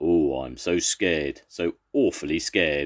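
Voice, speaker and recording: Putting on a gruff character voice, a man speaks at a moderate pace with a very deep, low pitch and ordinary pitch variation. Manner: mockingly scared.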